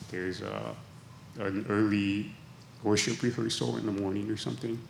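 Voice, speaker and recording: Moderate pacing from a man with a fairly low pitch. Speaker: pharmacist, church volunteer. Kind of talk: panel Q&A.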